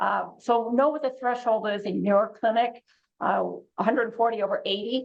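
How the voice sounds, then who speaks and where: With a plain, everyday voice, a woman speaks at a moderate pace in a fairly high pitch with ordinary pitch variation. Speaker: oncology clinician. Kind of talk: educational presentation.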